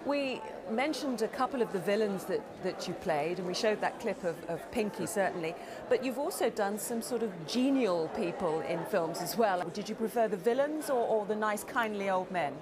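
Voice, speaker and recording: A woman speaks at a moderate pace with lively intonation and a fairly high pitch. Noticeable background noise is present. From England. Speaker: newsreader and broadcaster. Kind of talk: TV interview questions.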